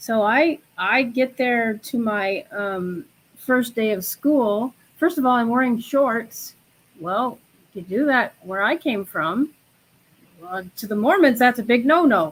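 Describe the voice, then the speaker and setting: With an American accent, a woman speaks very slowly at a fairly high pitch, her intonation lively. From Chicago area, US Midwest. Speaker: spiritual guest, tarot reader. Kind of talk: personal story in a live chat.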